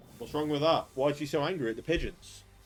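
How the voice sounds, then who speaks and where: Talking at a fairly quick pace, a man speaks in an English accent. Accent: English accent, self-described as annoying. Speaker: gaming streamer. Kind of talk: live gaming commentary. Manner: animated.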